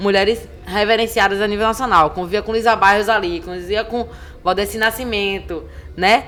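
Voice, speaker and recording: A woman speaks in an animated tone at a medium pitch. Noticeable background noise sits behind her. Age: 30s. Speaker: cultural producer and activist. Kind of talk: podcast interview. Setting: live podcast recording at a literary festival.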